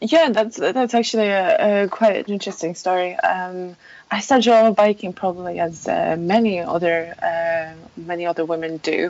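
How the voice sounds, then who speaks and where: A woman of medium pitch with a Polish accent, at a moderate pace with ordinary pitch variation. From Poland. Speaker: mountain bike website founder. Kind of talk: interview conversation. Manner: halting, many fillers.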